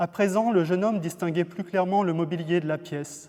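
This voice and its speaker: A man's intonation stays fairly even as he speaks at a moderate pace. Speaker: novelist. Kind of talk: fiction reading aloud.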